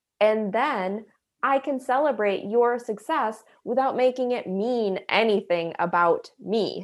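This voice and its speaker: A fairly high-pitched woman at a fairly slow pace with ordinary pitch variation, in a very clean recording with a silent background. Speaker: spiritual life coach and energy healer. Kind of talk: casual interview, personal storytelling. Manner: soft-spoken, reflective.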